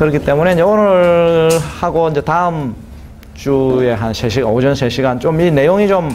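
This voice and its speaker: A man talks at a moderate speed while noticeable background noise and audible room echo fill the recording. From southern Korea (provinces). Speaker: GMP consultant, lecturer. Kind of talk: lecture. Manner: hesitant with many fillers.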